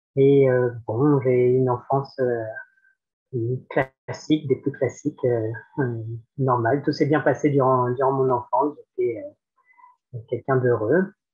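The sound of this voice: The voice has a slightly husky edge and fairly even intonation. Its pace is fairly slow. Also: man, medium pitch for a man.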